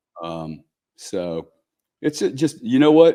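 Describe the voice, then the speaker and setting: Against a quiet background, a man with a Louisiana accent speaks in a dark, mellow tone. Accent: Louisiana Southern US. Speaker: businessman and investor. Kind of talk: podcast interview. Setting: live show.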